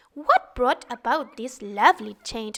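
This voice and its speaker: A put-on character voice with lively intonation moves at a fairly slow pace, in a dry, close sound with no echo. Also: woman, high pitch for a woman. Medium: read story.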